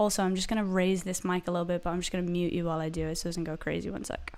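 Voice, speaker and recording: This is a woman speaking with an American accent. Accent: American-sounding despite Irish origin. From Ireland. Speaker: singer-songwriter. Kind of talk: casual live stream chat. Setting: live stream at home. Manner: animated, chatty.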